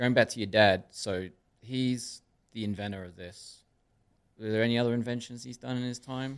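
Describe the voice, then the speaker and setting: In a very clean recording with a silent background, a man with an American accent speaks in an unremarkable speaking voice at medium pitch, at a moderate pace with fairly even intonation and big swings in loudness. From Connecticut, US. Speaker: podcast host. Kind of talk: interview. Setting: studio.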